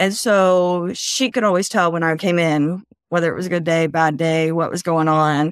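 In an ordinary speaking voice, a woman with fairly low pitch speaks at a moderate pace with fairly even intonation. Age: 40s. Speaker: guest sharing mental health story. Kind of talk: testimony.

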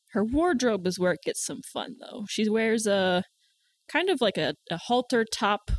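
A woman with an American accent in a very clean recording with a silent background, the sound dry and close with no echo. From US South. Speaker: tabletop game player. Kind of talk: casual chat.

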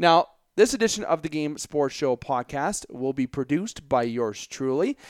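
A man with an Ontario accent, animated tone and very wide pitch swings at a moderate pace, in a very clean recording with a silent background and a dry, close sound with no echo. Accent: Canadian (Ontario). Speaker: sports podcast host. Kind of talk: solo sports commentary podcast.

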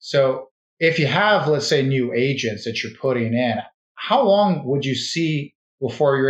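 A man at medium pitch and a moderate pace, an ordinary speaking voice. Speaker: podcast host. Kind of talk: interview.

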